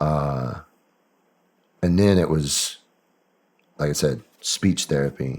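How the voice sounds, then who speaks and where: Very deep and low, a man's voice moves with ordinary pitch variation. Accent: American. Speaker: military veteran. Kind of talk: interview testimony.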